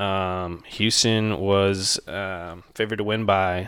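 The pitch sits fairly low for this man. It is a very clean recording with a silent background. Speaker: fantasy football podcast co-host. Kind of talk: casual sports podcast chat. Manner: quiet.

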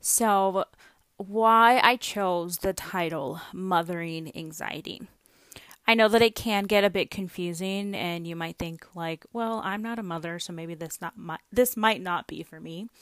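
With an unremarkable speaking voice of medium pitch, a woman talks at a fairly slow pace, with ordinary pitch variation and big swings in loudness, in a very clean recording with a silent background. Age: 20s. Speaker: podcast host. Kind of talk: casual monologue. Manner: frequent laughter.

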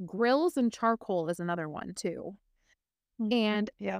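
A woman with an American accent speaks in a plain, everyday voice, with lively intonation at a moderate pace. The sound is dry and close with no echo, over a quiet background. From Minnesota, Twin Cities. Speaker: podcast co-host, homesteader. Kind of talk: casual chat. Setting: video call.

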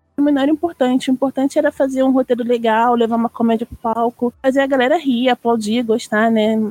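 A woman talks fairly quickly with hardly any pauses, her high voice dark and mellow in tone. The sound is dry and close with no echo, the loudness very even and the intonation fairly even. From Brazil, Rio de Janeiro. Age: 30s. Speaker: cosplayer and seamstress. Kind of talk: casual chat.

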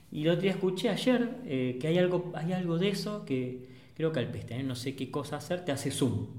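A man's fairly high voice in a Rioplatense accent, fairly quick and lively in intonation, with audible room echo and noticeable background noise. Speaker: photographer, podcast host. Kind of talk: casual chat.

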